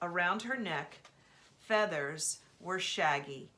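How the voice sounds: The intonation here is lively. This is a natural reading voice.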